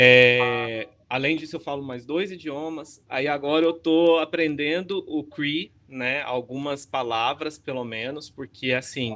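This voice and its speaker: A man speaks very slowly with a fairly high pitch, a bright, sharp tone, fairly even intonation and hardly any pauses. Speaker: academic researcher. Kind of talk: online lecture talk.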